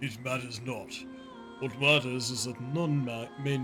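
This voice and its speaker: With clear music in the background, a man performs a put-on character voice. He speaks at a fairly slow pace in a medium pitch. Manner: dramatic, acted.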